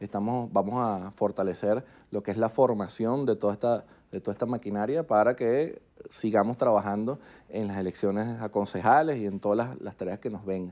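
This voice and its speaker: A man speaks at a fairly low pitch with ordinary pitch variation and a dark, mellow tone. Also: moderate pace. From Venezuela. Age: 30s. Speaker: politician. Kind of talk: TV news interview. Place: studio. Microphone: lapel.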